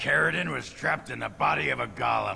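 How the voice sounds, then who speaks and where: At a moderate pace, someone performs a put-on character voice while music plays clearly in the background. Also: man. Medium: machinima.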